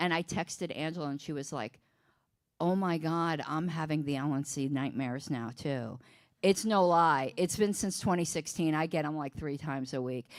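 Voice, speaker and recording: Recorded very cleanly over a silent background, a woman speaks in an animated tone at a moderate pace, her pitch very deep and low, with ordinary pitch variation. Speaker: political party officer. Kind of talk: casual chat. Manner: animated, halting with repetitions.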